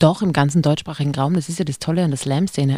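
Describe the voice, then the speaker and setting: A woman speaks in a very deep, low voice with a dark, mellow tone. Her intonation is fairly even. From Austria, Tyrol. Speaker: cabaret comedian. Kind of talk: casual interview.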